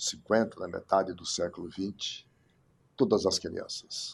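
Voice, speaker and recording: Very slowly, a man speaks in a fairly low voice in a very clean recording with a silent background. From Brazil, Ceará (Iguatu). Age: 60s. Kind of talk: life story interview.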